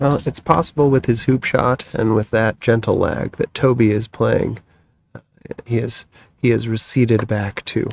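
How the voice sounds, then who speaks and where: This man talks at a moderate pace with a medium pitch and fairly even intonation, in an ordinary speaking voice. The sound is dry and close, with no echo. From United States. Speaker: croquet commentator. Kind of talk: live sports commentary.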